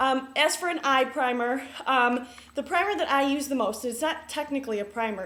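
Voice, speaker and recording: High-pitched female speech with noticeable background noise. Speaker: beauty vlogger. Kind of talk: tutorial. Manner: fast; many filler ums.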